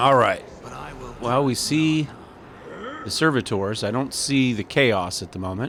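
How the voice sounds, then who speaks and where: Amid noticeable background noise, a man at a medium pitch speaks at a fairly slow pace, with ordinary pitch variation, big swings in loudness, and long, frequent pauses. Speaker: gaming video creator. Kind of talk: let's play commentary. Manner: halting, with fillers.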